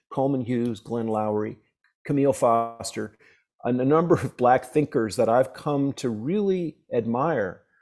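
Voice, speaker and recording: A man speaks in a New York accent with a dark, mellow tone. The recording is very clean, with a silent background. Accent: New York American. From downstate New York. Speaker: professor and blues harmonica player. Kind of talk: interview conversation.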